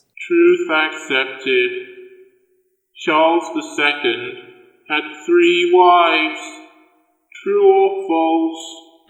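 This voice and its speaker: Putting on a character voice with slight echo, a man speaks at a high pitch and a very slow pace, with long, frequent pauses. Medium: audio drama. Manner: fussy, repetitive, sing-song.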